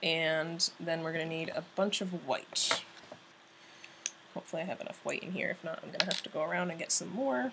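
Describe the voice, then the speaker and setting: A woman speaks at a fairly quick pace in a fairly low voice, with ordinary pitch variation and noticeable background noise. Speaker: painting tutorial creator. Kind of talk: tutorial. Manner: hesitant, many fillers.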